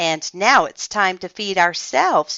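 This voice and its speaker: This put-on character voice sounds female, pitched in the middle range and delivered at a moderate pace. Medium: read story.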